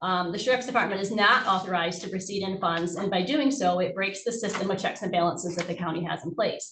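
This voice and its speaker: Amid noticeable background noise and audible room echo, a woman talks very fast in a medium pitch with ordinary pitch variation. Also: hardly any pauses. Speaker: auditor presenting to county board. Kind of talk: formal presentation to board.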